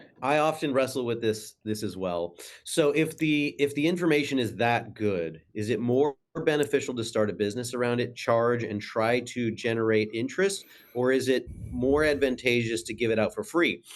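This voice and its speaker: This is a plain, everyday voice from a man at a medium pitch and moderate pace. His pitch varies in an ordinary way against a quiet background. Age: 40s. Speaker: massage therapist. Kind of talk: casual chat.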